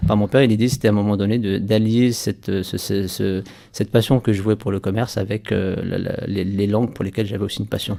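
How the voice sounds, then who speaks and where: Very fast male speech, fairly low in pitch, with a dark, mellow tone and monotone, flat intonation. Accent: North African. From France, Saint-Étienne. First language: Berber (speaking French). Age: 30s. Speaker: entrepreneur. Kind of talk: radio interview. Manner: hesitant, many repeated words.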